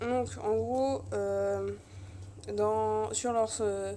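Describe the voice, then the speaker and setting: Audible room echo fills the space. A woman's voice comes through it. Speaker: youtuber and amateur artist. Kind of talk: casual vlog. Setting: in her bedroom. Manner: halting, many hesitations.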